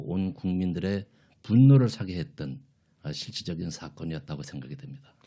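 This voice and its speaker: A man speaks with a fairly low pitch and a dark, mellow tone, his intonation lively, in a very clean recording with a silent background. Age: 60s. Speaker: church deacon, guest. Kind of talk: radio interview. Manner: formal.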